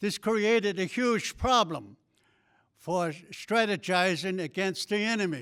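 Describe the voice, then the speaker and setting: With a Southwestern US accent, a man talks at a fairly slow pace in a high pitch with ordinary pitch variation. The recording is very clean, with a silent background. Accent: Navajo-accented English. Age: 90s. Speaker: war veteran. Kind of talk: ceremonial speech. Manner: halting.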